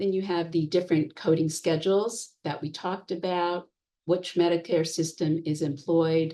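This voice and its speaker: Speaking at a moderate pace, a woman has a fairly low pitch, a dark, mellow tone and monotone, flat intonation. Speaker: health economics expert presenting a training. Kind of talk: online presentation lecture. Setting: webinar, presenting online.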